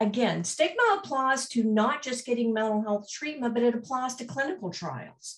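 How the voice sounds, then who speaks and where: The speaker has an American accent and a moderate pace. The intonation is lively and the voice somewhat breathy. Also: woman. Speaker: mental health organization executive. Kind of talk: conference presentation.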